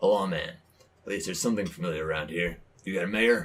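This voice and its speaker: Putting on a raspy character voice, a man speaks at a fairly low pitch and a very fast pace with lively intonation. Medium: actual play. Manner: deadpan, curt.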